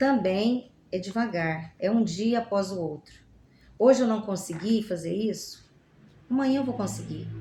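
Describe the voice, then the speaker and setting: Somewhat breathy and with a dark, mellow tone, a woman speaks at a fairly slow pace in a medium pitch with ordinary pitch variation. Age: 60s. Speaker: language graduate. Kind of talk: podcast interview.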